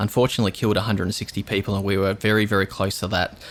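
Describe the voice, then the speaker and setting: In an Australian accent, the speaker races along very fast. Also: man. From Australia, southeast Queensland. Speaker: storm chaser. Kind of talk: interview.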